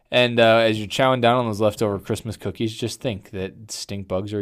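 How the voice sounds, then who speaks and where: With fairly even intonation, a man speaks in a plain, everyday voice. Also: very clean recording, silent background. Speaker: podcast host, pest control. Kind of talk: casual chat, podcast. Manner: casual, joking.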